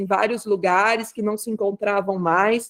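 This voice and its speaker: At a moderate pace, a woman speaks in a normal speaking voice with fairly even intonation. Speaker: umbanda spiritual leader. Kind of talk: online talk circle presentation.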